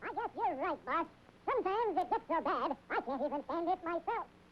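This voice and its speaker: An extremely high, cartoonish character voice talks at a fairly quick pace over clear background noise. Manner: meek, deferential.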